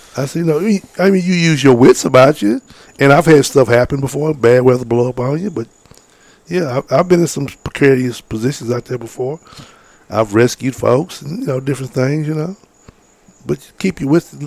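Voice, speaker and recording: A moderate pace in a dry, close sound with no echo. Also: man, fairly high pitch for a man, ordinary pitch variation. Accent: American. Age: 50s. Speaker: fishing guide and outdoorsman. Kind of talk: casual interview.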